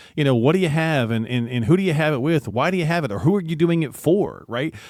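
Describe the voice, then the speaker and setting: A man's fairly high-pitched voice with an American accent, very fast pace, and lively intonation, on a very clean recording with a silent background. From US South. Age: 50s. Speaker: radio co-host. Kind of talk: radio talk show conversation.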